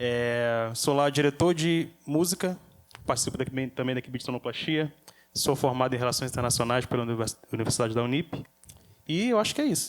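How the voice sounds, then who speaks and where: Fairly quick in pace, a man speaks with a normal speaking voice. His pitch is medium, with ordinary pitch variation. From Rio de Janeiro, Brazil. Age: young. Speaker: church music director. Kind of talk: casual chat.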